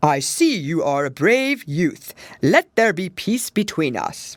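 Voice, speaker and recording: Using a put-on character voice at a middle pitch, the speaker goes at a fairly slow pace with very wide pitch swings. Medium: read story.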